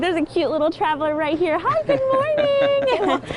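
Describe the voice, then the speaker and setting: With noticeable background noise behind her, a woman speaks at a moderate pace in an extremely high pitch that makes very wide swings. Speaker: TV news reporter and anchor. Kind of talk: live TV news field report. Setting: outdoors on location.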